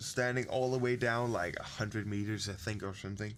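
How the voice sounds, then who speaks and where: A man with a Danish accent at a moderate pace, over noticeable background noise. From Denmark. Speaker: podcast guest. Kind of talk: casual chat.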